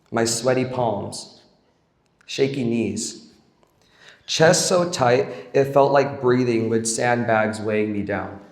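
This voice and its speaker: A man with a medium pitch and ordinary pitch variation talks at a very slow pace with long, frequent pauses, and audible room echo is present. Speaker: camp staff member. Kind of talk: speech.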